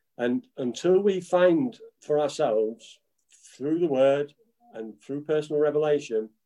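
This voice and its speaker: A man with an English accent speaks fairly slowly in a dark, mellow tone. His pitch is fairly high and his intonation lively. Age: 50s. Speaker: pastor. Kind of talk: preaching.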